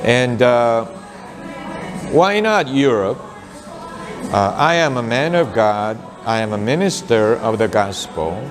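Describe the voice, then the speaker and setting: A man with a Korean accent talks at a very slow pace, with long, frequent pauses and lively intonation in a medium pitch. Music plays in the background, and the room echo is audible. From South Korea. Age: 60s. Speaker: pastor. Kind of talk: talk about his mission and book. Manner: hesitant, many filler sounds.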